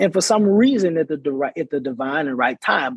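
This man has an unremarkable speaking voice, pitched fairly high and moving at a moderate pace. The sound is dry and close, with no echo. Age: 20s. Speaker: college student. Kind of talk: interview.

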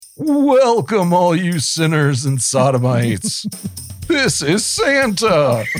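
A put-on character voice moves very slowly through very wide pitch swings while clear music plays in the background. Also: man, high pitch for a man.

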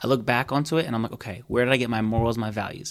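This man's medium-pitched delivery comes very fast, with fairly even intonation. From Egyptian heritage, born in Alexandria. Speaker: podcast host. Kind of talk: casual interview chat. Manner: uses many filler words like 'like'.

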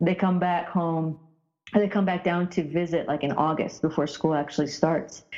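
A woman with an American accent and a normal speaking voice, fairly low in pitch, at a moderate pace with fairly even intonation. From rural Indiana, US Midwest. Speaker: former professional basketball player. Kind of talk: interview.

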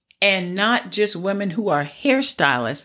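On a very clean recording with a silent background, a woman's pitch swings very widely. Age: 60s. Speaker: hairstylist and life coach podcast host. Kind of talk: solo podcast monologue.

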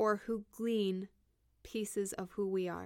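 Speaking fairly slowly in a normal speaking voice, a woman at medium pitch comes through in a very clean recording with a silent background. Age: 30s. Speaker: podcast host and therapist. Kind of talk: solo reflective monologue. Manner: conversational with fillers.

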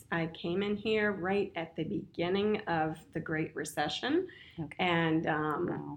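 A woman with an American accent talks at a fairly slow pace in a fairly low pitch with ordinary pitch variation, in an unremarkable speaking voice. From Winchester, Virginia. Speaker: real estate broker and career coach. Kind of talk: casual interview chat.

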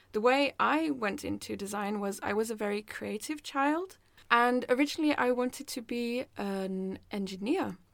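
In a Norwegian accent, a woman speaks at a moderate pace with a fairly high pitch and lively intonation. The recording is very clean, with a silent background. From Norway. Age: 20s. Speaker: design student and podcast host. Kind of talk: casual chat. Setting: small room at school.

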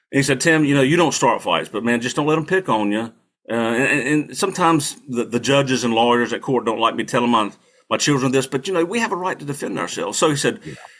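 Speaking very fast with a North Carolina accent, a man uses lively intonation at a medium pitch. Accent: Southern US (North Carolina). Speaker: Marine veteran and attorney, political candidate. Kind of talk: interview, casual storytelling.

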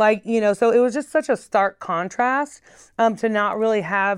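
Against a quiet background, a woman with an American accent uses a normal speaking voice. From North Carolina and Oregon. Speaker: community activist. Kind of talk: interview. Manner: casual with many fillers.

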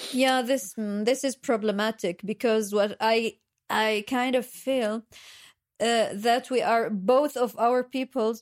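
Over a silent background in a very clean recording, a woman with an Arabic accent and a fairly high pitch speaks at a very slow pace. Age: 30s. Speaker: journalistic editor and translator. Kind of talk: casual chat.

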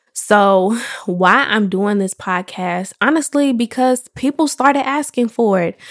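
In an ordinary speaking voice, a woman with a fairly high pitch and an American accent talks at a fairly slow pace with lively intonation, the sound dry and close with no echo. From Chicago, South Suburbs. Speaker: podcast host and entrepreneur. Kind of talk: solo podcast monologue. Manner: casual, conversational.

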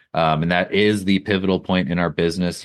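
Very deep and low, a man's voice with an American accent moves at a fairly quick pace over a quiet background. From rural Wisconsin. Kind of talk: interview.

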